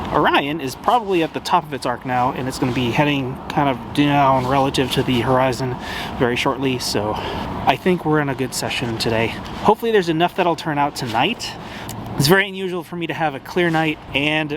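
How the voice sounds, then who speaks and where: Speaking at a fairly quick pace, a man with a fairly high voice shows ordinary pitch variation over noticeable background noise. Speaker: amateur astrophotographer. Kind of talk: casual vlog narration. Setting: outdoors at night. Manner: fast.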